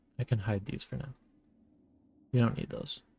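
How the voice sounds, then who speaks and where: This is a man's voice. It sounds somewhat breathy. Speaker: vtuber streamer. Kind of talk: casual gaming stream chat. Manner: relaxed, chill.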